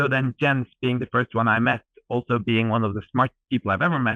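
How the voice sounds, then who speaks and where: A man with a Norwegian accent, speaking at a very fast pace. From Norway. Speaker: edtech startup co-founder. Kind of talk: interview. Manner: animated.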